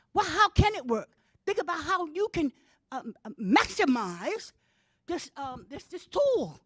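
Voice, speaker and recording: Recorded with a dry, close sound and no echo, the voice moves at a fairly slow pace with very wide pitch swings and big swings in loudness. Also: woman, extremely high pitch for a woman. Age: 60s. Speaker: public commenter at school board meeting. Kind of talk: public comment speech. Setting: school board meeting. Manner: halting, repetitive.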